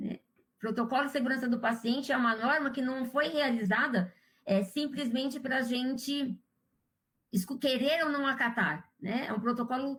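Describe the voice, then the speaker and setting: This woman's voice is high in pitch. She talks at a fairly slow pace. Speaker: surgical instrumentation instructor. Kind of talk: live quiz class.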